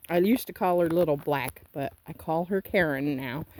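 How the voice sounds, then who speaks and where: At a moderate pace, the speaker uses a normal speaking voice with an American accent. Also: woman. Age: 60s. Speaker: homesteader vlogger. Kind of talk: casual vlog talk to camera.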